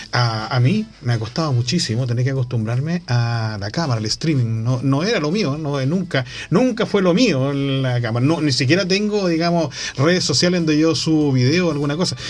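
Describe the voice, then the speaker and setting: A man talks at a moderate pace with lively intonation, a somewhat breathy voice and hardly any pauses. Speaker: radio journalist and host. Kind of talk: radio talk show conversation.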